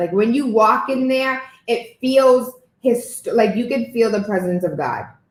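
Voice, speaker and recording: A woman with a non-native accent speaks in a fairly high pitch. Her pace is fairly slow, and her pitch varies in an ordinary way. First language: not English. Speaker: podcast host. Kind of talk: interview.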